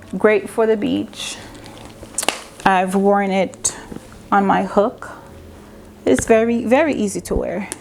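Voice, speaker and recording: Noticeable background noise sits behind a woman at medium pitch. She talks at a very slow pace with ordinary pitch variation and long, frequent pauses. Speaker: fashion and beauty vlogger. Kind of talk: casual product review vlog. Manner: loud, projecting voice.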